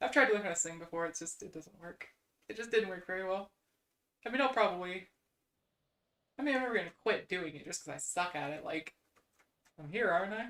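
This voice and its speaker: With a Midwestern American accent, a woman speaks at a very fast pace with lively intonation, big swings in loudness and long, frequent pauses. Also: medium pitch for a woman. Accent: generic Midwestern American. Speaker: VTuber streamer. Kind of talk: casual live-stream chat.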